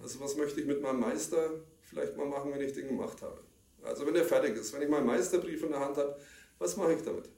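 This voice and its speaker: A man speaks very rapidly, with audible room echo and noticeable noise behind him. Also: ordinary pitch variation. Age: 50s. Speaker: security professional. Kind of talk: interview.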